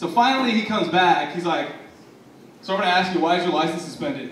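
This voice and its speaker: Noticeable background noise sits behind a man talking at a very fast pace. His high voice has lively intonation. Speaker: spoken word poet. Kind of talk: casual comedic storytelling to a live audience.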